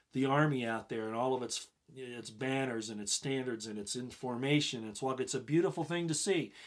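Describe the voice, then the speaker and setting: Medium in pitch with ordinary variation, a man talks at a fairly quick pace. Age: 60s. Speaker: former police officer and army veteran hosting a commentary livestream. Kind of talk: live-streamed commentary with viewer questions. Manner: hesitant, many fillers and repeated words.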